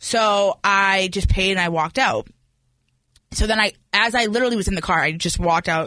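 Loud and bright with a sharp tone, a woman speaks at a medium pitch with ordinary variation on a very clean recording with a silent background. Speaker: podcast co-host. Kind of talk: casual chat.

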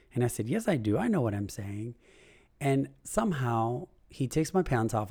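A man's somewhat breathy voice with a dark, mellow tone, recorded very cleanly against a silent background. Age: adult. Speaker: podcast host. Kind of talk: personal monologue. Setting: home recording with puppies barking.

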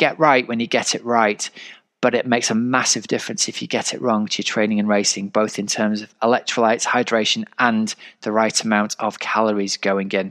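A man talks at a moderate pace and medium pitch in an unremarkable speaking voice. The sound is dry and close, with no echo. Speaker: triathlon coach and podcast host. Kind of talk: podcast intro and interview.

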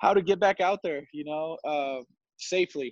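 At a moderate pace and with fairly even intonation, the voice comes through in a dry, close sound with no echo. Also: man. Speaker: former college baseball player. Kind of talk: casual interview. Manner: halting, many fillers.

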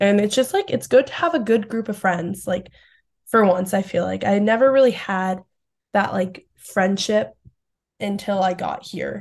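In a normal speaking voice, a woman talks at a medium pitch and a moderate pace. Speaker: college lacrosse player. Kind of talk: casual interview.

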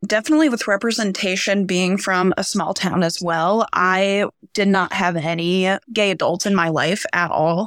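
An unremarkable speaking voice from a woman at a moderate pace, on a very clean recording with a silent background. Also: medium pitch for a woman, ordinary pitch variation, very even loudness. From rural central Nebraska. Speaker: theater teacher. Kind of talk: panel discussion.

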